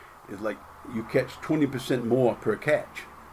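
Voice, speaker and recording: There is noticeable background noise behind this man. His pitch is medium, with ordinary variation. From Maine. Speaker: lobster fisherman. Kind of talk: casual storytelling interview.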